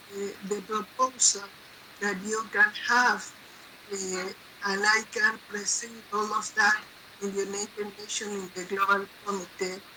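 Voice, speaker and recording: A non-native accent at a fairly slow pace, with monotone, flat intonation, long, frequent pauses, and noticeable background noise. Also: woman, medium pitch for a woman. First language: not English. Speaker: representative of an organization at the United Nations. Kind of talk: online gathering address. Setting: online video event. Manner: halting, many fillers.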